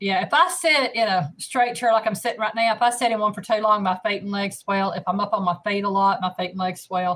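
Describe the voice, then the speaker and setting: A woman with a Southern US accent talks at a fairly quick pace with hardly any pauses, her medium pitch showing ordinary variation. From US South, north Alabama. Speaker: cooking channel host. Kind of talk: casual live stream chat. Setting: live stream.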